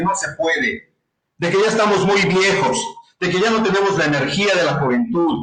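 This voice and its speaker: A man speaks in a high pitch. Audible room echo surrounds his voice. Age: 60s. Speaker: business consultant and entrepreneur. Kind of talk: interview. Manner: hesitant, with repetitions.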